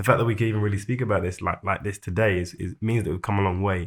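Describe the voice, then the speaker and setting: A man's fairly low voice with ordinary pitch variation at a very fast pace, on a very clean recording with a silent background. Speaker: podcast guest. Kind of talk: casual chat.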